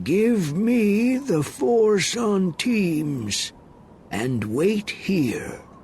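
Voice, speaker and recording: A man speaks very slowly in a put-on character voice, pitched high and swinging very widely up and down, with clear background noise behind him. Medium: read story.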